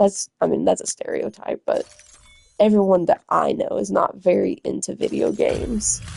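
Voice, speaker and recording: Over music in the background, a woman with an American accent comes through with a dry, close sound with no echo. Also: moderate pace. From US South (Arkansas). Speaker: gaming streamer. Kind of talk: gameplay livestream chat. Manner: casual, rambling with fillers.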